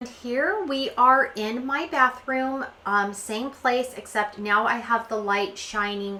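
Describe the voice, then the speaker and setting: The room gives off an audible echo. A woman talks very slowly. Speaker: beauty vlogger. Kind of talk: personal vlog narration. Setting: home bathroom.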